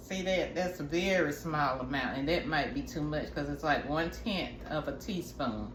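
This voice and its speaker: There is noticeable background noise. Audible room echo is present too. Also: woman. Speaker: wellness vlogger. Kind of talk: tutorial. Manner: casual, chatty.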